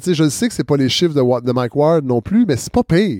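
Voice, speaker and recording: Speaking at a fairly quick pace, a man uses lively intonation. He has a plain, everyday voice. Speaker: podcast host and former radio worker. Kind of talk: casual interview. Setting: at his home.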